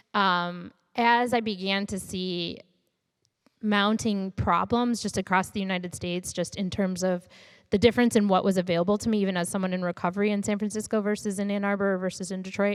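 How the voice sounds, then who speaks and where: A woman with a Michigan accent speaks at a fairly quick pace and medium pitch, with monotone, flat intonation. The recording is very clean, with a silent background. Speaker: startup founder and CEO. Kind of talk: interview.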